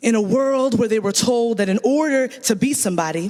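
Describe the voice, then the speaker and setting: A high-pitched man talking at a fairly quick pace with lively intonation, over noticeable background noise. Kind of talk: spoken word poetry performance at a gala, paired with a co-performer.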